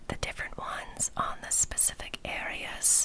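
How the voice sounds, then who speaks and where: Over noticeable background noise, a woman whispers in a gentle, relaxed tone. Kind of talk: casual talk to camera about skincare products.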